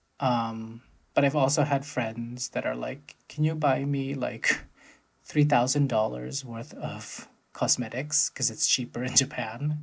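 A man talks at a very slow pace with fairly even intonation. His voice is somewhat breathy. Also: medium pitch for a man. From United States. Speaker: podcast co-host. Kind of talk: casual chat.

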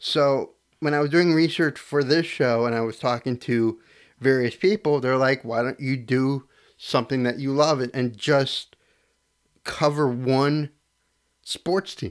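Speaking at a fairly slow pace, a man with an American accent uses an ordinary speaking voice at a medium pitch with ordinary pitch variation. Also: very clean recording, silent background. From Connecticut. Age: 30s. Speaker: sports podcast host. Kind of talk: casual solo sports talk. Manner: casual, filler-heavy.

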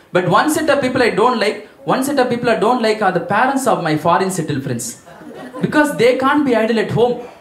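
Against noticeable background noise, a man speaks at a fairly quick pace and a high pitch, with lively intonation. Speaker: stand-up comedian. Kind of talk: stand-up. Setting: stage with audience.

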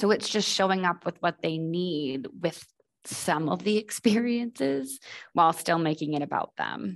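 Against a quiet background, a woman with a plain, everyday voice and an American accent speaks at a moderate pace, her fairly low pitch carrying lively intonation. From Boston. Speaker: admissions advisor. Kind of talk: podcast interview.

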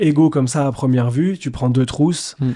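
A man's dark, mellow tone sits at a fairly high pitch, with ordinary pitch variation. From France, Nantes. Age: 40s. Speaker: entrepreneur and former athlete. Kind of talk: interview.

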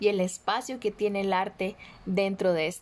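A woman with a Costa Rican accent, medium-pitched, at a fairly slow pace. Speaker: podcast host. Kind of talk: podcast interview.

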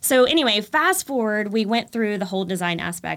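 In a very clean recording with a silent background, a woman with an American accent talks in an ordinary speaking voice at a moderate pace with ordinary pitch variation. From Texas, Texas-Louisiana border. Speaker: home decor influencer. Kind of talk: casual interview.

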